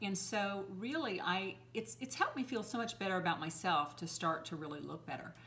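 At a moderate pace, a woman speaks at a medium pitch with a fairly bright tone and ordinary pitch variation.

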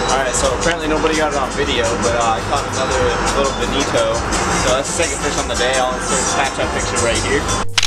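A man talks at a very fast pace. Loud music plays in the background. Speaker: vlogger. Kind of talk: casual vlog chat. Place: boat. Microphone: phone near.

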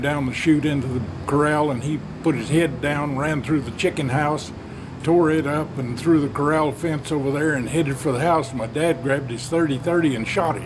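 A man's fairly high voice with a Southern Plains US accent, fairly even intonation and noticeable background noise. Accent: Southern plains US drawl. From Oklahoma/Texas panhandle region. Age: old. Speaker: storyteller. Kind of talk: folksy spoken yarn of a family tall tale. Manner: rambling conversational pacing with folksy 'well' asides. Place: garden. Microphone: phone near.

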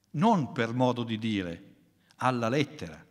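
There are very wide pitch swings and vocal fry in this man's voice. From northern Italy, Milan. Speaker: philosopher. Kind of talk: lecture.

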